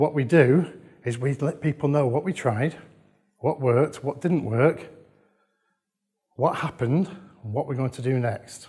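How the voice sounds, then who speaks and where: Somewhat breathy, the voice carries an English accent and ordinary pitch variation. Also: man. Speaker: conference speaker on children's social care. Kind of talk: conference talk. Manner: fast; animated.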